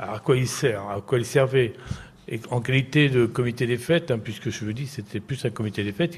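A somewhat breathy man talks at a moderate pace and medium pitch, with ordinary pitch variation. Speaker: former mayor. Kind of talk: interview. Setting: live broadcast from a care home.

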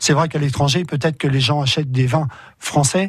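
A man talks at a fairly quick pace with fairly even intonation and a somewhat breathy sound. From France. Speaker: volunteer association organiser. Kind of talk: radio interview.

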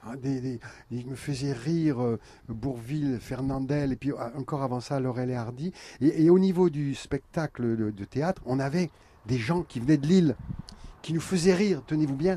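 This man's fairly high pitch pairs with a dark, mellow tone, a moderate pace and ordinary pitch variation. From Picardy, France (Vimeu, Friville-Escarbotin). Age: 70s. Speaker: clown and theatre artist. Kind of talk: radio interview. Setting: outdoors, live outside a hall.

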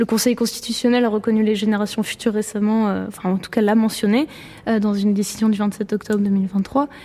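A woman talks at a fairly quick pace and a fairly high pitch. Her intonation is monotone and flat, with noticeable background noise. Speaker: law graduate. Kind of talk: panel talk. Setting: lecture hall with audience.

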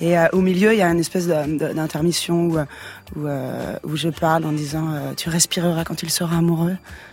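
With noticeable background noise, a woman talks at a moderate pace in a fairly low pitch and a monotone, flat intonation. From provincial France. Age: 40s. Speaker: singer. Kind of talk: radio interview. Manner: casual, slangy.

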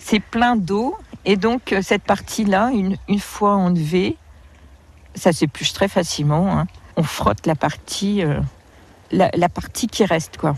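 A woman's medium-pitched, somewhat breathy voice at a very slow pace with ordinary pitch variation, against a quiet background. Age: 50s. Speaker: wild plant guide. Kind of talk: outdoor field interview. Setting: outdoors. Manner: hesitant, with many fillers.

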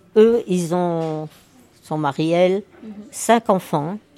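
A woman speaks at a very slow pace in a medium pitch, with ordinary pitch variation, a dark, mellow tone, and a dry, close sound with no echo. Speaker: nursing home resident. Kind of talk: casual interview.

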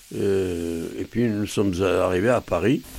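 A man speaks at a very slow pace. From Bulgaria, Armenian family. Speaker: Armenian immigrant witness. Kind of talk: testimony.

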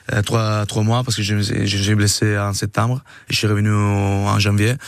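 A man speaks fairly slowly. His intonation is monotone and flat. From Italy. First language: Italian (speaking French). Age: 30s. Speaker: rugby player. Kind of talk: radio interview. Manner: halting.

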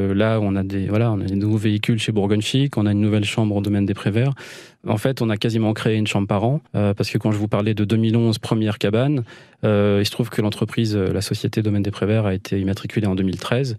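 A man talks very fast in a flat monotone, his loudness very even. His tone is dark and mellow, his pitch fairly low. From Île-de-France (Val d'Oise, Vexin). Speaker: rural holiday estate owner, former radio host. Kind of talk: radio interview. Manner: hesitant, many fillers and repetitions.

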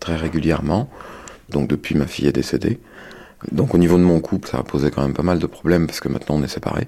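A man speaks with a very deep, low pitch. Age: 40s. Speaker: sheep farmer. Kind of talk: testimony. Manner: halting.

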